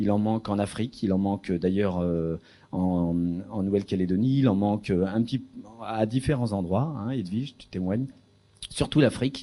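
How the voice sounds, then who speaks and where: With a dark, mellow tone, a man talks using lively intonation. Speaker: researcher in philosophy for children. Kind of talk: lecture. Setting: lecture hall with audience. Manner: hesitant, many fillers.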